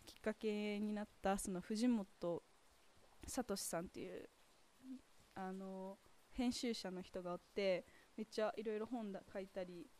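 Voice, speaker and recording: The voice has a dark, mellow tone and fairly even intonation, moving at a fairly slow pace with long, frequent pauses. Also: woman, medium pitch for a woman. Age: young. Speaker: podcaster. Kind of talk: casual walking monologue. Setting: outdoors.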